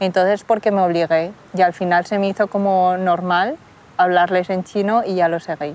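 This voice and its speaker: At a fairly quick pace, a woman talks with a fairly low pitch. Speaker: interviewee, daughter of Chinese immigrants. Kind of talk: interview testimony. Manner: casual, hesitant.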